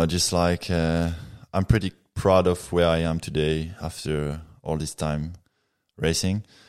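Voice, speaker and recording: With a French accent and a very deep, low pitch, a man speaks at a fairly slow pace with long, frequent pauses on a very clean recording with a silent background. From Reunion Island. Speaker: professional mountain biker. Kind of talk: casual podcast interview. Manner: laid back, chilled.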